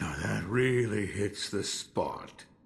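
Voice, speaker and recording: Using a put-on character voice, a man speaks at a fairly low pitch. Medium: video game. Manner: slow, reflective.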